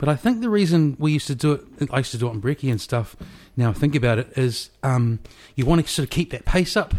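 Speaking very fast with a New Zealand accent, a man uses lively intonation in a somewhat breathy voice. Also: fairly high pitch for a man. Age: 40s. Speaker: podcast host. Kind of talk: casual chat. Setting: home kitchen.

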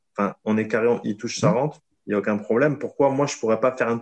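Here a man talks with a medium-pitched voice. Its pitch moves in an ordinary way. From southern France. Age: 30s. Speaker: private investor. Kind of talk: casual interview. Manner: hesitant, many fillers.

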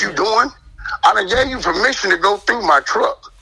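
A raised, projected voice with ordinary pitch variation, with music in the background. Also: man. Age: 50s. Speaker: community member recounting police incident. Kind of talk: testimony.

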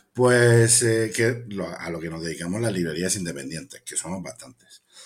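Lively intonation runs through this man's speech. He talks at a fairly slow pace. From Spain, Cartagena (Murcia). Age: 40s. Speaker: bookseller and poet. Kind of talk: interview. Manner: hesitant, with fillers and repetitions.

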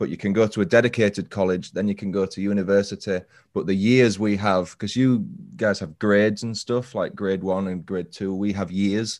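Against a quiet background, a man with a northern English accent talks at a moderate pace, fairly low in pitch and fairly even in intonation. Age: 30s. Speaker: true crime podcaster. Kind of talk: casual chat.

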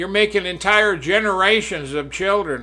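A man speaking at a moderate pace. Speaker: radio preacher. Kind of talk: fiery end-times sermon turning into a political rant. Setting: studio. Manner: indignant, scolding, jabbing at political opponents; preachy, warning tone, alternating threat and plea to repent.

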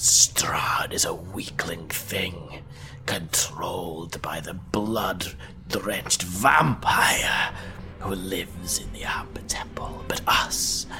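A put-on character voice at a very slow pace. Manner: seductive, gloating, menacing.

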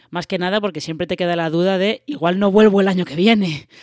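A fairly quick pace in a Spanish accent. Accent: Spanish (Spain). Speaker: podcast host. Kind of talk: casual chat. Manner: hesitant, many fillers.

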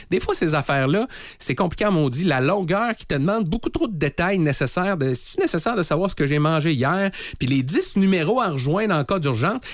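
A high-pitched man with an animated tone, lively intonation and a fairly quick pace. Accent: Quebec. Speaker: morning radio host. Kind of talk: casual radio chat.

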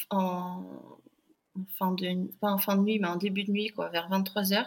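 In a very clean recording with a silent background, a woman talks at a medium pitch and a very slow pace. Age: 30s. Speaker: mother and app founder. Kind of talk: interview testimony. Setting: podcast microphone.

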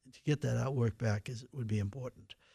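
On a very clean recording with a silent background, a man speaks with an American accent. His voice sits at a medium pitch with a dark, mellow tone. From Boston, Massachusetts (Dorchester). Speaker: retired newspaper reporter. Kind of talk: radio interview. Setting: radio studio. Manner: halting.

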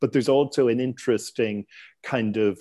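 Here a man talks with an Irish accent at medium pitch. His pace is moderate and his intonation fairly even. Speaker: real estate investment newsletter founder. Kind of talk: interview conversation. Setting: remote call. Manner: frequent stammering and word repetitions.

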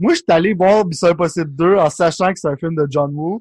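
A man with a Quebec accent speaks at a moderate pace in a high voice, his intonation fairly even and the sound dry and close with no echo. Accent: Québécois French. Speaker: podcast co-host. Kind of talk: casual chat.

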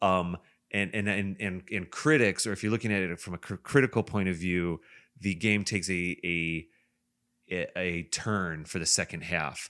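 Very deep and low, a man's voice with an Upper Midwest accent moves at a moderate pace with ordinary pitch variation on a very clean recording with a silent background. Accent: upper Midwest American. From Wisconsin. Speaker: podcast host. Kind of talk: casual chat.

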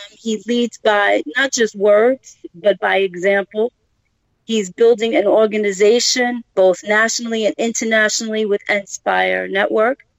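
This woman speaks with a Brooklyn accent at a fairly slow pace. Her pitch is fairly high and her intonation fairly even. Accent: Brooklyn, New York. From Brooklyn, New York. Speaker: podcast guest, business founder; former teacher, community advocate.

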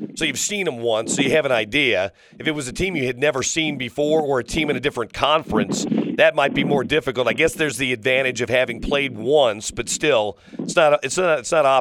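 A man speaks with a fairly high pitch at a fairly quick pace. Noticeable background noise is present. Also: ordinary pitch variation. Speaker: sports radio host. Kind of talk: casual chat.

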